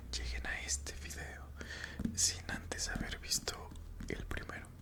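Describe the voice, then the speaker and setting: Noticeable background noise sits under a whisper that moves at a fairly slow pace. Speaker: ASMR creator. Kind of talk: casual talk to camera. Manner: whispered.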